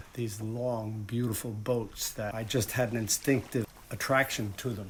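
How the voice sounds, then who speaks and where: Somewhat breathy, a man speaks at a moderate pace with fairly even intonation. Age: 60s. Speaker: photographer and restaurateur. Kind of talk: documentary interview. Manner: reflective, with frequent hesitations.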